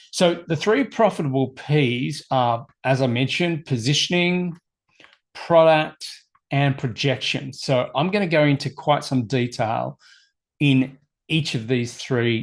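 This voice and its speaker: Against a quiet background, a man with a plain, everyday voice talks fairly slowly at medium pitch with ordinary pitch variation. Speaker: personal development coach. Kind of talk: webinar presentation. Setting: live online stream.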